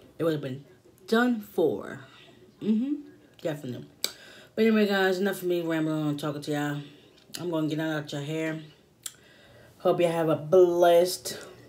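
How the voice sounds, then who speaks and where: At a moderate pace with long, frequent pauses, a woman speaks in a very deep, low voice with a dark, mellow tone and ordinary pitch variation. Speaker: mukbang vlogger. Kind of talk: casual vlog chat. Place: home room. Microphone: phone near.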